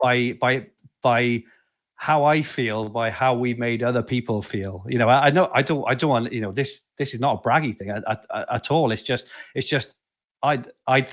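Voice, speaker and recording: Talking with a South Wales accent, a man keeps a moderate pace. His intonation stays fairly even. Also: medium pitch for a man, quiet background. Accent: Welsh, Barry twang with Valleys lilt. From South Wales, Barry. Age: 40s. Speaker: podcast host. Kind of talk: casual interview chat. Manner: halting, many repeated words.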